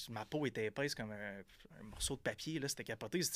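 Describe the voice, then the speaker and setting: A man's unremarkable speaking voice at medium pitch, fairly quick, with ordinary pitch variation. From Quebec, Gaspésie (Percé). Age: 30s. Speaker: entrepreneur. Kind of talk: casual interview. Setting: studio.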